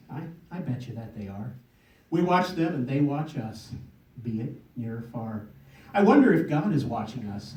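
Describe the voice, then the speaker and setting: There is noticeable background noise behind this man's medium-pitched voice. His intonation is lively, broken by long, frequent pauses. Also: moderate pace. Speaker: poet. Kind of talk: poetry reading. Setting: live audience event.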